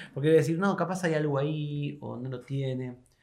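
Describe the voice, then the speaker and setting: A man's somewhat breathy, medium-pitched voice in a Rioplatense accent, at a fairly slow pace with fairly even intonation. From Argentina, Buenos Aires province. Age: 40s. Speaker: philosopher and university professor. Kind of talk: interview conversation.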